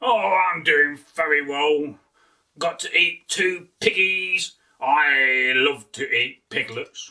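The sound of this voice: In a put-on character voice, a man speaks slowly at a fairly high pitch, his tone bright and sharp and his pitch varying in an ordinary way.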